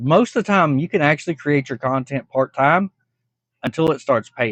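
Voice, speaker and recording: A man with a plain, everyday voice speaks at a moderate pace and fairly high pitch, his intonation lively, the sound dry and close with no echo against a quiet background. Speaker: reaction video creator. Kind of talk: casual reaction commentary.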